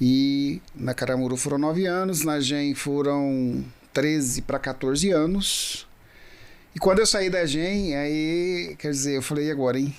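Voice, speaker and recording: Audible room echo around a man's fairly high-pitched voice, fairly slow in pace, with ordinary pitch variation. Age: 60s. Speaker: business owner, agribusiness guest. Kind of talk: casual interview chat. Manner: halting, many fillers.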